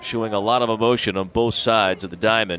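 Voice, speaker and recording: A man talking at a fairly quick pace, dry sound with no echo, light background noise. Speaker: play-by-play announcer. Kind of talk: sports commentary. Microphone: headset.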